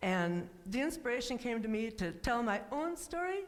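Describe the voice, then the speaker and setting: A woman's pitch swings very widely. Audible room echo surrounds her voice. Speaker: guest speaker and author. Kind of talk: personal testimony talk.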